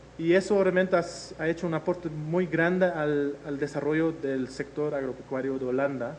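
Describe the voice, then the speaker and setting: Amid noticeable background noise and audible room echo, a man talks at a fairly slow pace and a fairly high pitch with fairly even intonation. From Netherlands. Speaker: researcher. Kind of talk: lecture. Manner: hesitant, many filler sounds.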